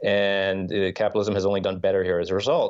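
This is a man speaking. He has an American accent. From US. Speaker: journalist and author. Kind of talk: interview.

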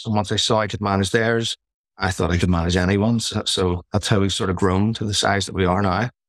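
Recorded very cleanly against a silent background, a man speaks with a fairly low pitch and fairly even intonation. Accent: Northern Irish. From Belfast, Northern Ireland. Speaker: short-term rental property manager and author. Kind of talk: casual podcast interview.

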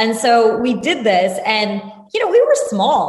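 A woman's pitch varies in an ordinary way while noticeable background noise carries on behind her. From US Northeast, New Jersey (Randolph). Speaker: entrepreneur. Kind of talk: interview.

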